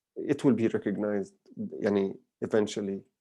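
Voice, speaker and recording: Speaking at a moderate pace, a man with a Palestinian accent has a dark, mellow tone. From Palestine. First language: Arabic. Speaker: filmmaker. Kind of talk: lecture Q&A. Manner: halting with fillers and repetitions.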